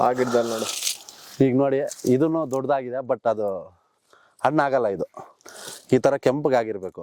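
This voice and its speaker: A man speaks at a medium pitch. The sound is dry and close, with no echo. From rural Karnataka, India. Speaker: village vlogger. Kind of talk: casual vlog narration. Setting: outdoors. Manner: animated.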